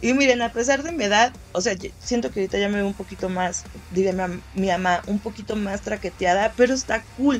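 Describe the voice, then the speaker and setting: With noticeable background noise behind her, a woman at medium pitch talks at a fairly quick pace with ordinary pitch variation and hardly any pauses. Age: 20s. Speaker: podcast host. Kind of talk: casual monologue.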